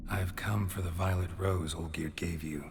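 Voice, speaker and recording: A man puts on a character voice with a very deep, low pitch. He speaks at a moderate pace over loud background noise. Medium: video game. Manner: low, measured, terse.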